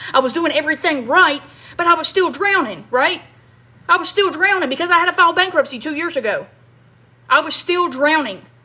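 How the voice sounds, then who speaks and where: Speaking with a Kentucky accent, a woman uses an extremely high, bright, sharp, raised and projected voice, an animated tone and lively intonation at a fairly quick pace, with long, frequent pauses. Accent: Southern US (Kentucky). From US South, small-town Kentucky. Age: 30s. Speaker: online marketing coach, ex-factory worker. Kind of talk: livestream monologue. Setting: live stream. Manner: animated, repetitive.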